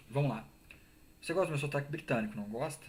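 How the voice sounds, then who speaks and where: The man's voice comes across as somewhat breathy. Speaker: gaming streamer. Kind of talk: casual live stream commentary.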